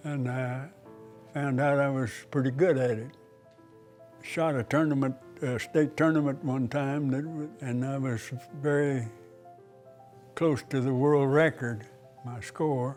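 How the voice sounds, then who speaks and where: Over background music, a man with an Oklahoma accent speaks at a fairly slow pace. His pitch is fairly high and his intonation fairly even. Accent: Oklahoma rural American. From Oklahoma, Cherokee. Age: 80s+. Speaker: retired archery champion. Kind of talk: interview. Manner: halting.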